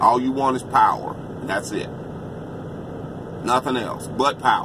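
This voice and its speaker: With noticeable background noise behind him, a man with an American accent talks at a moderate pace in a flat, monotone way. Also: medium pitch for a man. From United States. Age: 50s. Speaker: trucker giving political opinions. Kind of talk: political monologue vlog. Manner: impassioned.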